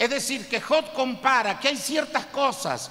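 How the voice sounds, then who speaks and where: Noticeable background noise sits behind a man with an extremely high pitch. His voice is raised and projected, with fairly even intonation. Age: 60s. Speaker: pastor. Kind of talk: sermon.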